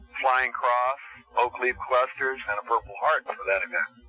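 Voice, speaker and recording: A man talks at a moderate pace amid noticeable background noise. The sound is dry and close, with no echo. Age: 60s. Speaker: son of the pilot, interviewee. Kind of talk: documentary interview.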